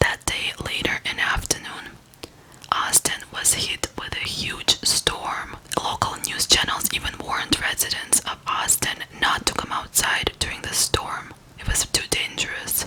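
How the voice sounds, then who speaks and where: Noticeable background noise surrounds this recording. In it, a woman whispers at a fairly slow pace. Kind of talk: true crime case narration. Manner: soft, whispering, relaxing.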